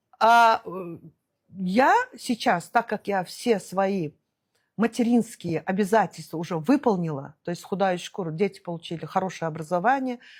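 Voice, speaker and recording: With lively intonation and a medium pitch, a woman speaks at a moderate pace on a very clean recording, silent background. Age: 60s. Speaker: entrepreneur and traveller. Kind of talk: interview. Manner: hesitant, many fillers.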